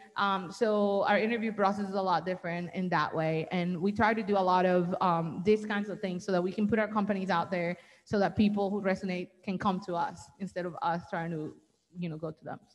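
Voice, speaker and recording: Here a woman speaks in a Colombian accent. Her pace is fairly quick and her intonation fairly even. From Colombia, Barranquilla. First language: Spanish. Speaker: business owner. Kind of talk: panel discussion.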